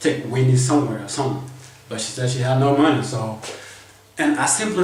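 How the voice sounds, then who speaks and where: A man with a non-native accent at a fairly quick pace, with ordinary pitch variation, audible room echo and noticeable background noise. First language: not English. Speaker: vlogger. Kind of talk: casual storytelling monologue. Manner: halting, repetitive.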